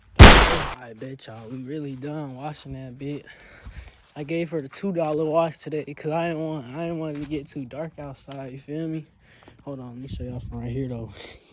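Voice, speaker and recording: Here a man talks at a moderate pace with a fairly high pitch and fairly even intonation. His loudness swings widely. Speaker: car vlogger. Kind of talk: casual vlog. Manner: halting, filler-heavy.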